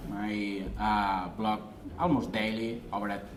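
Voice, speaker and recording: In a strong Spanish accent, a man speaks with audible room echo around his voice. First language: Spanish or Catalan. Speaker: online marketing consultant. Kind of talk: presentation. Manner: halting, many fillers.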